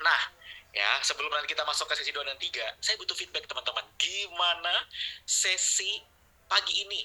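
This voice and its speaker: A man's fairly quick speech comes with noticeable background noise around it. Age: 30s. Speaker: online marketing trainer. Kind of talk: webinar lecture. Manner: animated.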